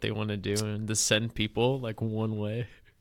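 A fairly low-pitched man in an American accent at a moderate pace, on a very clean recording with a silent background. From US coastal beach town. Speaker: podcast host. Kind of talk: casual interview. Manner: halting, many fillers.

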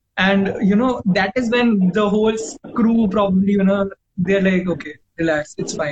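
Speaking with an Indian accent, a man uses a high voice with ordinary pitch variation. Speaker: podcast host. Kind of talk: casual interview chat. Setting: video call.

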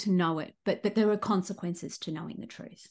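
A woman speaks at medium pitch in an Australian accent, with fairly even intonation. The background is quiet. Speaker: crime fiction author. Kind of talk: interview. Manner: hesitant, with fillers.

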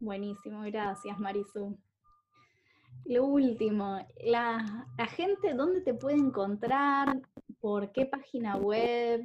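Speaking very slowly in an Argentine accent, a woman uses a fairly high pitch with ordinary pitch variation. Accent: Argentine (Rioplatense) Spanish. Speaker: podcast host and coach. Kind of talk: scripted introduction; interview.

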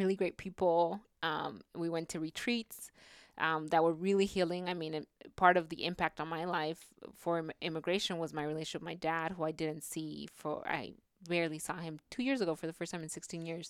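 A woman's normal speaking voice, fairly low in pitch and fairly quick, with fairly even intonation and an American accent, on a very clean recording with a silent background. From California Central Valley. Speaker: immigrant rights educator. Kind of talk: interview.

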